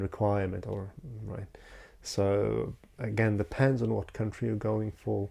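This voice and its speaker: In a Polish accent, a man speaks at a fairly low pitch with a dark, mellow tone and fairly even intonation. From Poland. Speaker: YouTuber. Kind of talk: unscripted talking-head vlog. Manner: halting, many fillers.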